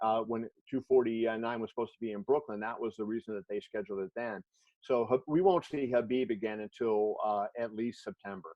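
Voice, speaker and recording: A man's normal speaking voice at medium pitch, with ordinary pitch variation and a fairly quick pace. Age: 60s. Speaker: sports journalist. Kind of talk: interview in a virtual class.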